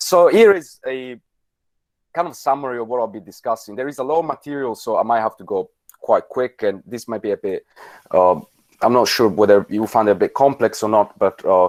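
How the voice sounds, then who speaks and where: Lively in intonation, a man talks at medium pitch and a fairly quick pace. The recording is very clean and dry, close with no echo and a silent background. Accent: Italian. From Italy. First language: Italian. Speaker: politics lecturer. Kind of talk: lecture. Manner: halting, many fillers.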